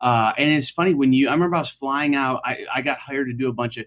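Speaking at a very fast pace with an American accent, a man keeps a medium pitch and ordinary pitch variation. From upstate New York. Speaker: comedian. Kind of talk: casual chat.

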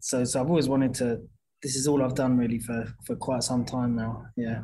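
Somewhat breathy, a man with an English accent speaks at a medium pitch and moderate pace with fairly even intonation. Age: 30s. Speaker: boxing gym owner, former pro boxer. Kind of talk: interview. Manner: halting.

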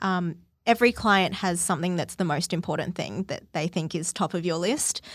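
A woman with an Australian accent at a fairly quick pace, on a very clean recording with a silent background. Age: 20s. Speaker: publicist. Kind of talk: casual interview.

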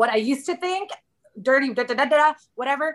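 A woman with an American accent projects her high voice in a bright, sharp tone. She moves at a moderate pace with lively intonation. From Southern California. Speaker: podcast guest, working mother. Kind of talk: casual interview chat.

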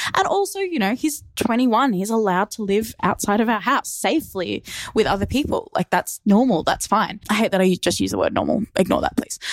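A woman with an Australian accent talks at a fairly quick pace with hardly any pauses. The sound is dry and close with no echo. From Australia, Melbourne. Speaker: listener. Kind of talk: voice memo monologue. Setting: voice memo recording. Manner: casual, chatty.

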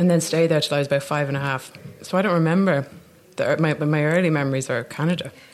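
Speaking at a very fast pace, a woman uses a very deep, low pitch and fairly even intonation. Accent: Dublin. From Ireland, Dublin. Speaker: actor. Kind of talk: casual chat. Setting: café.

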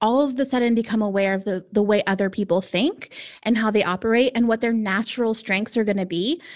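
A woman talks at a fairly quick pace with a fairly high pitch and ordinary pitch variation. It is a normal speaking voice. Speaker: personality typing expert. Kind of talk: podcast interview.

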